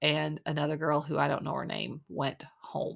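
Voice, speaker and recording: A woman at a fairly slow pace on a very clean recording with a silent background. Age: 20s. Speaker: podcast host. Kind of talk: casual monologue recap. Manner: chatty with many fillers.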